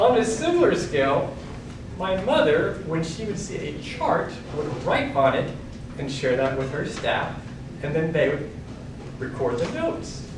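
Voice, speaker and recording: Speaking fairly slowly and stopping often for long pauses, a man is recorded with audible room echo and noticeable background noise. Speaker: speaker giving a talk. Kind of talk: speech to an audience.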